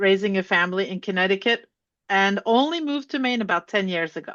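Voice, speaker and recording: With ordinary variation in her pitch, this woman keeps to a medium register. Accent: Norwegian. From Norway, Oslo. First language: Norwegian. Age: 60s. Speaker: author and educator. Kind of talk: interview conversation.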